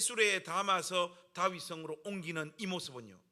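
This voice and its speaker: The voice is raised and projected, with a bright, sharp, animated tone. The pace is fairly slow. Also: man. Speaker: pastor. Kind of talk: sermon.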